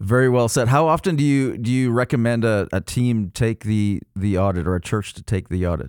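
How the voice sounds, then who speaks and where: With lively intonation and hardly any pauses, an unremarkable speaking voice moves at a fairly quick pace on a very clean recording with a silent background. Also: man, medium pitch for a man. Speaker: podcast co-host. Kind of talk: interview, casual conversation.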